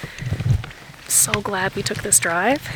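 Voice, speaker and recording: A woman talks against noticeable background noise. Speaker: travel vlogger. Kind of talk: casual vlog narration. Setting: in a car.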